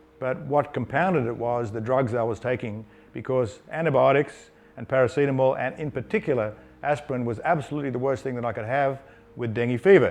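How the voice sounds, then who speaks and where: The speaker is a man with a medium pitch. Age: 60s. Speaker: company founder and CEO. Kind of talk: personal story. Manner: halting, with fillers.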